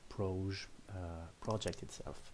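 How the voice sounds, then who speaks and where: A man speaks loudly in a dark, mellow tone. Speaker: programming tutorial creator. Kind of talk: screen-recorded coding tutorial. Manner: hesitant, many fillers; uneven loudness.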